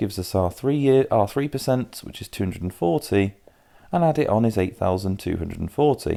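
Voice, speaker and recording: Lively intonation and a dark, mellow tone with a British accent, on a very clean recording with a silent background. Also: man. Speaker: maths tutor. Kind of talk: tutorial. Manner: fast.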